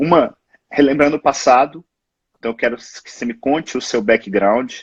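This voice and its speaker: A man talks in a normal speaking voice at a medium pitch and moderate pace, the sound dry and close with no echo. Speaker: physician, live show host. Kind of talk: live interview. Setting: Instagram live.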